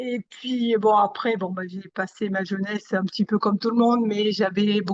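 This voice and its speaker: Her pitch sits fairly high for a woman. Intonation stays fairly even. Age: 60s. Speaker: consumer giving testimonial. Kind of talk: interview testimony. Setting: video call. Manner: hesitant, many fillers.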